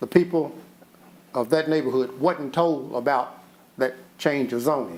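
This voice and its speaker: Speaking at a fairly slow pace, a man talks with a western Kentucky accent. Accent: western Kentucky, southern US. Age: 70s. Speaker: resident speaking at public comment. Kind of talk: public comment at city meeting. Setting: city commission meeting.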